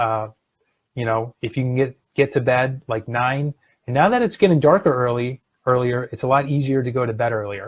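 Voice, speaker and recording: At a moderate pace, a man talks at a medium pitch with ordinary pitch variation. His voice is somewhat breathy. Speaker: health coach. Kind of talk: live stream talk.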